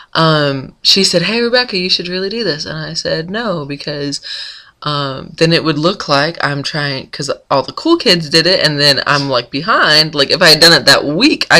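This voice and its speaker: Moderate-paced speech with an American accent over noticeable background noise. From US South, North Florida. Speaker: blogger. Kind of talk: casual vlog. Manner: chatty, many fillers.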